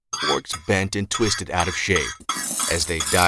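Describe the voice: The speaker reads aloud in a plain, straightforward manner.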